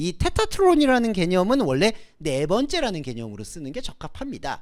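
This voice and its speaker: The speech moves at a fairly quick pace with very wide pitch swings. The recording is very clean, with a silent background. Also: man. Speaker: preacher. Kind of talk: sermon. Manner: halting over Greek words.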